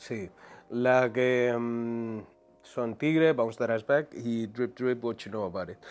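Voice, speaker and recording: A man at medium pitch, very slow pace, on a very clean recording with a silent background. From Madrid, Spain (east, Quintana). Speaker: singer and rapper. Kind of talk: casual chat. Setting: studio with video recording.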